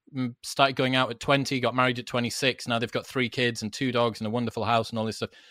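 A man with a British accent talks at a very fast pace in a medium pitch, his tone bright and sharp. The recording is very clean, with a silent background and a dry, close sound with no echo. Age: 30s. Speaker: podcaster, former club promoter. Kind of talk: casual interview chat.

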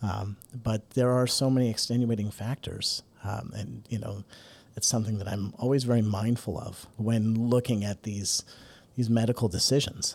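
Using an ordinary speaking voice, a man talks at a moderate pace and medium pitch with fairly even intonation. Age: 40s. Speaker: guest podcast host, clarinet company executive. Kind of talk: interview.

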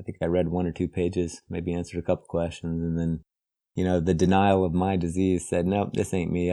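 Delivered in an American accent, a man's very deep, low voice with a dark, mellow tone moves at a fairly quick pace with monotone, flat intonation. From West Virginia. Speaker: author and recovering addict. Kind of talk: recovery testimony.

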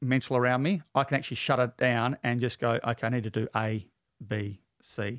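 Recorded very cleanly against a silent background, a man talks with ordinary pitch variation. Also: dry, close sound with no echo. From Perth, Western Australia. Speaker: former police officer turned chiropractor. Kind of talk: interview.

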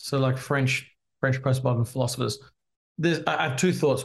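A somewhat breathy man speaks with an American accent. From Australia, Adelaide. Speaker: pastor and author. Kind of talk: interview.

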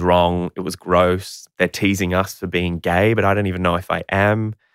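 A man with an Australian accent and a very deep, low pitch, monotone and flat, at a moderate pace with hardly any pauses. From Queensland, Australia. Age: 30s. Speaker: actor and children's TV presenter. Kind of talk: interview.

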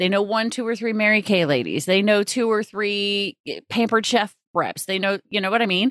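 Using an unremarkable speaking voice, a woman speaks at a medium pitch and a moderate pace. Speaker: podcast host. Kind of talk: casual interview chat.

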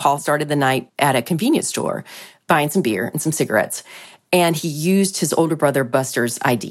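A woman's voice sits very deep and low, recorded very cleanly against a silent background. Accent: Southern US. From US South, near South Carolina. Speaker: reporter. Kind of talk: interview explanation.

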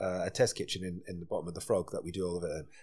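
A man with a Scottish accent speaks at a very fast pace in an animated, passionate tone. The recording is very clean, with a silent background. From Scotland. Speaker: chef and restaurateur. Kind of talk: casual interview chat.

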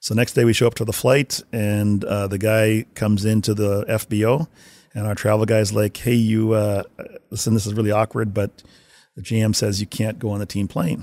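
This man has a fairly low pitch and a Canadian accent. It is a normal speaking voice. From Winnipeg, Canada. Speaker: hockey video coach. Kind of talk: interview storytelling.

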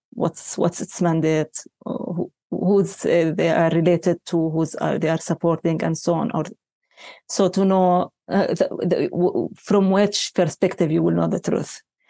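A woman with a fairly low, dark, mellow voice and vocal fry speaks at a fairly slow pace with fairly even intonation. The sound is dry and close with no echo. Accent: Palestinian. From Palestine. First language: Arabic. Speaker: journalists' union representative. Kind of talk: interview. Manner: halting.

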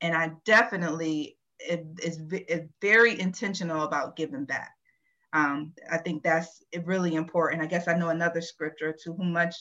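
Her tone is bright and sharp, set at a fairly low pitch for a woman. She moves at a fairly quick pace with fairly even intonation. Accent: American. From Virginia. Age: 40s. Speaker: IT transformation leader. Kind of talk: podcast interview. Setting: live taping on stage.

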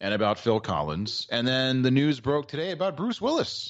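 Very wide pitch swings mark this man's speech. He talks with an American accent. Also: quiet background. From Maryland. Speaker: sports radio co-host. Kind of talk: casual banter, sports talk show.

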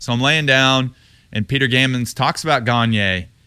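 With an American accent, a man talks at a fairly quick pace in a bright, sharp tone. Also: very clean recording, silent background. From Texas, Houston. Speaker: retired baseball player, TV analyst. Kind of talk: casual interview. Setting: studio.

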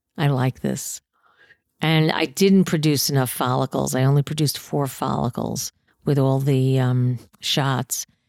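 A woman speaks with a New York accent in a very deep, low pitch at a fairly slow pace. Her intonation is fairly even and her loudness very even, with a dry, close sound and no echo. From New York City, Queens. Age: 60s. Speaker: comedian. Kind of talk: casual chat. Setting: home.

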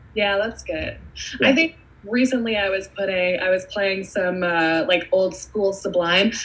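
A woman's medium-pitched voice with ordinary pitch variation, at a fairly slow pace over noticeable background noise. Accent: American. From New York, Hudson Valley. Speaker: spirits brand ambassador. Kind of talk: casual chat.

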